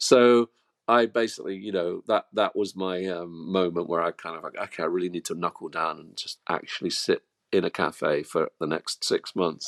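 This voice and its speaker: This man has an English accent and talks at a moderate pace. His loudness swings widely, and the sound is dry and close with no echo. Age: 60s. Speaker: musician and author. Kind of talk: interview. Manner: halting, many repetitions.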